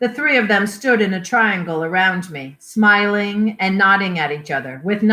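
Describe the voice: A passage in plain reading aloud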